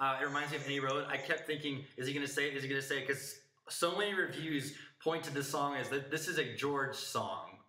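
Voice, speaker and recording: Audible room echo carries a man's voice. He talks at a fairly quick pace with a fairly high pitch. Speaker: music podcast host. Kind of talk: casual review discussion. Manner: halting, self-correcting.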